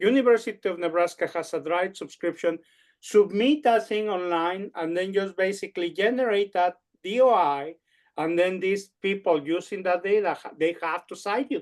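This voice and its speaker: Nothing much stirs in the quiet background. The words arrive at a medium speed. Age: 50s. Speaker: parasitology professor. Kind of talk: seminar Q&A discussion. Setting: seminar room, recorded. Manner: halting, repetitive.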